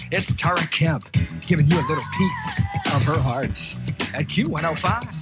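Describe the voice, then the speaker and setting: A man speaks at a moderate pace over loud music in the background, the sound dry with no echo. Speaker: radio DJ. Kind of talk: radio DJ aircheck, upbeat promos and on-air banter. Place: booth. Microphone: old recording.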